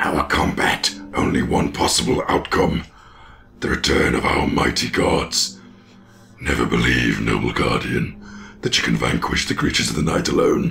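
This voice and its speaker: Over clear background noise, a man puts on a raspy character voice with a very deep, low pitch and speaks at a moderate pace. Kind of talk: archaic, theatrical. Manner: dramatic, grandiose.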